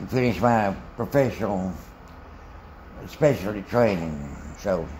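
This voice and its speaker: Amid noticeable background noise and audible room echo, a man with a Southern US accent speaks at a fairly slow pace in a fairly low pitch, his intonation lively. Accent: Southern US (Georgia). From US South, Macon, Georgia. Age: 80s+. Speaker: retired physician. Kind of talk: life story interview. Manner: halting.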